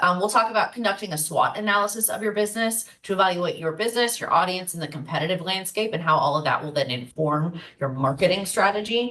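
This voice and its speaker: Over noticeable background noise, a woman at a medium pitch talks very fast with lively intonation. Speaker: marketing workshop presenter. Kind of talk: online workshop presentation.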